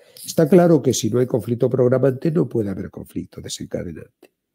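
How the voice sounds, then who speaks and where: A man with a Spanish accent speaks at medium pitch, somewhat breathy, with a dark, mellow tone. His intonation is lively. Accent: Spanish (Spain). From Spain. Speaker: therapist and author. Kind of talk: interview.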